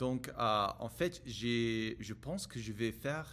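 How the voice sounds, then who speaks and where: In an English accent, a man speaks very slowly at a medium pitch. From United States. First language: English (speaking French). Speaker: French learner vlogger. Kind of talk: casual monologue vlog. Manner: halting, many hesitations and repetitions.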